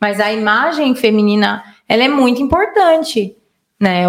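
A woman's ordinary speaking voice, fairly high in pitch, at a moderate pace. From Minas Gerais and São Paulo state, Brazil. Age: 30s. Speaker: digital influencer. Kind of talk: casual chat.

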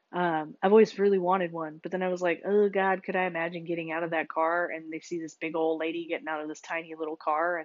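Her pitch shifts in an ordinary way. The woman's voice is fairly low. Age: 30s. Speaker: podcast host. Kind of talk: casual monologue. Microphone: recording on a phone.

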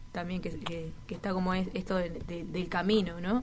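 Room echo is audible as a woman speaks at a moderate pace. Her pitch is medium and her intonation fairly even. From Uruguay, Toledo (Canelones). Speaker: rapper. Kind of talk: interview chat.

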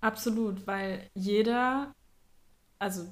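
A woman talks at a medium pitch. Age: 20s. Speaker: podcast host, astrologer. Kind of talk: casual chat.

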